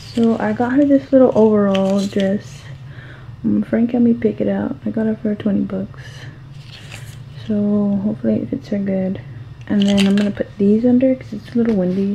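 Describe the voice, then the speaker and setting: A woman speaks at a moderate pace with long, frequent pauses. Light background noise is present. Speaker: mother vlogger. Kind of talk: casual vlog chat. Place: home room. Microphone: phone near.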